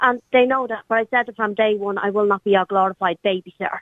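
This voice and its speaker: A woman with an Irish accent talks at a very fast pace and a medium pitch. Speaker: radio caller. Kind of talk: phone-in conversation. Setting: phone call.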